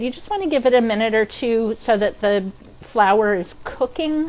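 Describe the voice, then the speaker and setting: A woman's fairly high voice with an American accent, lively intonation and a moderate pace over noticeable background noise. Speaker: cooking instructor. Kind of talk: cooking demo. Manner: casual, many fillers.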